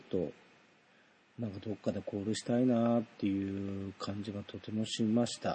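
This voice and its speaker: A somewhat breathy man at a moderate pace. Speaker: solo podcaster, idol concert fan. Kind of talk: casual monologue concert review.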